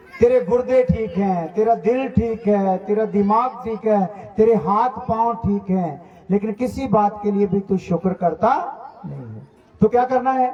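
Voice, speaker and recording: This man has a high pitch and a Punjabi accent. Noticeable background noise runs underneath. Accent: Punjabi-accented Hindi. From Punjab, India. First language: Punjabi (speaking Hindi). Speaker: pastor. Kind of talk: sermon.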